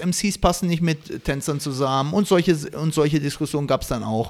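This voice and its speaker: The man's pitch varies in an ordinary way as he talks fairly quickly. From Baden-Württemberg, Stuttgart area. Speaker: breakdancer and event host. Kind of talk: casual chat.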